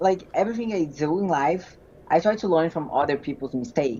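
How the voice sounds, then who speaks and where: Speaking at a moderate pace, a woman with a Portuguese accent has a dark, mellow tone and lively intonation. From Brazil. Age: 20s. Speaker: physique competitor. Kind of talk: interview. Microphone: connection freezing.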